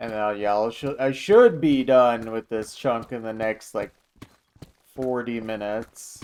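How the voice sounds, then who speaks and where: Speaking fairly slowly, a man keeps a medium pitch and fairly even intonation. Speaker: gaming streamer. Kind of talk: live stream commentary.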